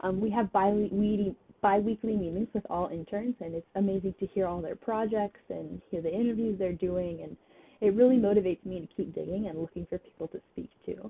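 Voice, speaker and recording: A woman speaks in an American accent at a medium pitch. Her intonation stays fairly even. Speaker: student intern correspondent. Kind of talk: prepared personal reflection. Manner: some hesitations and self-corrections.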